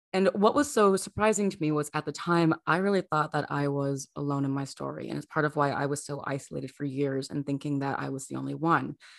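With a very deep, low pitch and an animated tone, a woman speaks at a moderate pace in a dry, close sound with no echo. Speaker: podcast host. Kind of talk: serious interview conversation. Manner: animated, laughs often.

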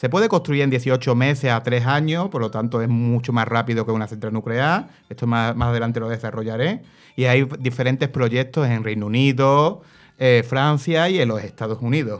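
At a moderate pace and medium pitch, a man speaks with ordinary pitch variation in a very clean recording with a silent background. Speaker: radio panelist. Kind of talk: radio talk show.

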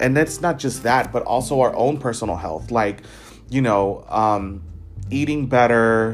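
The pitch moves in an ordinary way at a fairly slow pace. Music plays in the background. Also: man, medium pitch for a man. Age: 20s. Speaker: podcast host. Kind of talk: solo reflective monologue. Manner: hesitant, many fillers.

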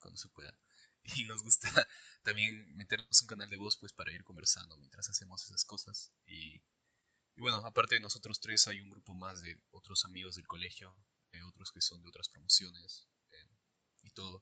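A man talks at a moderate pace, with long, frequent pauses, in a dry, close sound with no echo. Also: big swings in loudness. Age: 20s. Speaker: podcast co-host, engineering student. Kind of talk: casual chat.

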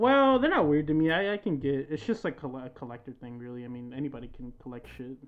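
This man talks very fast with hardly any pauses, his voice fairly high in pitch. His intonation is lively and his loudness swings widely. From US, Mexican-American family. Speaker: podcast co-host. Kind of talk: casual chat. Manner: animated.

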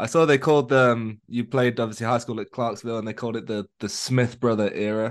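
A man with an ordinary speaking voice talks at medium pitch, fairly quickly and with hardly any pauses. His intonation is fairly even, and the background is quiet. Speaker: podcast host. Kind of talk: casual interview chat.

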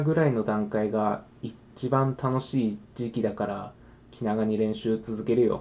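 This man talks at a very slow pace. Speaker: podcaster, language learner. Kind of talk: casual monologue. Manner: casual, friendly.

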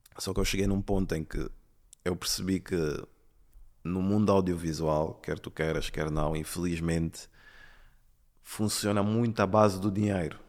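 A man with a very deep, low voice speaks at a moderate pace with fairly even intonation and long, frequent pauses, on a very clean recording with a silent background. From London and Angola. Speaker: videomaker. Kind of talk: casual interview.

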